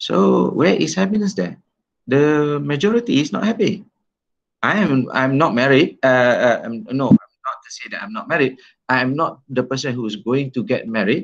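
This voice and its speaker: Here a man speaks at a fairly high pitch. His voice rises and falls in very wide pitch swings. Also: moderate pace, quiet background. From Malaysia. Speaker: law lecturer. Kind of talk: online lecture. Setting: video call. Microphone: video call.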